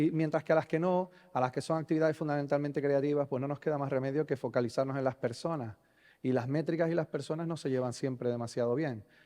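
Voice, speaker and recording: This man speaks very fast in a Canarian accent, his voice fairly high with a dark, mellow tone. His intonation stays fairly even, and the background is quiet. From Canary Islands, Spain. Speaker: conference speaker on software delivery. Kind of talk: conference talk. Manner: hesitant, many fillers and repetitions.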